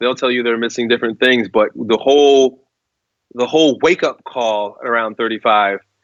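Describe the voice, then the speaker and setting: An unremarkable speaking voice at a fairly quick pace with fairly even intonation. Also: man. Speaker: strength coach, author and guest speaker on masculinity. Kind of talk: interview answer.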